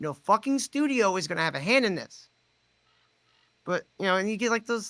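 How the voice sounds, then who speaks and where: A raised, projected voice with a bright, sharp tone, lively intonation and a fairly quick pace, in a dry, close sound with no echo. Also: man, high pitch for a man. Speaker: puppeteer, writer, director, podcaster. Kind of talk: interview answer. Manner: casual.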